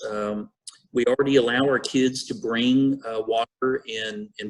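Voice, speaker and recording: With a Texan accent and a medium pitch, a man is heard in a dry, close sound with no echo. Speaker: school district administrator. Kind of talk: board meeting presentation. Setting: video conference.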